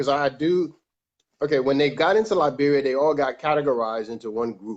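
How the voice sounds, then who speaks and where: A man speaks in an ordinary speaking voice with an American accent. His pitch is fairly high and his pace fairly quick. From New York City, Staten Island. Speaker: music producer and director, guest. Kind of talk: casual interview conversation.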